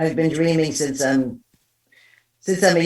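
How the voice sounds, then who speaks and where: The speaker has a New York accent and fairly even intonation. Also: woman. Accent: East Coast US, New York. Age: 60s. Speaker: psychic medium. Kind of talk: interview storytelling.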